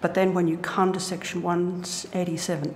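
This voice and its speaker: A woman speaks with medium pitch and monotone, flat intonation amid noticeable background noise and audible room echo. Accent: Australian. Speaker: internet advocacy group witness. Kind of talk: parliamentary committee testimony. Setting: committee hearing room. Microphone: too quiet, hard to hear.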